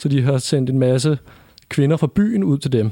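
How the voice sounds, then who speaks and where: A man's fairly high-pitched voice with a dark, mellow tone at a moderate pace, in a very clean recording with a silent background. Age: 20s. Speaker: podcast co-host, advertising agency founder. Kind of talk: casual chat. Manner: halting.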